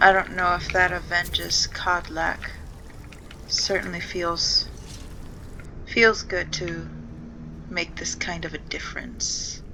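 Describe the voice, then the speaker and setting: Over noticeable background noise, a woman speaks quietly at a very slow pace with long, frequent pauses. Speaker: gaming video creator. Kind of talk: gameplay commentary. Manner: quiet and pensive.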